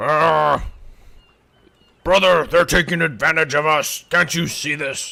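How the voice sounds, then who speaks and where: Putting on a raspy character voice, a man speaks at a fairly slow pace with a fairly high pitch and long, frequent pauses. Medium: actual play. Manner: broken grammar, boastful.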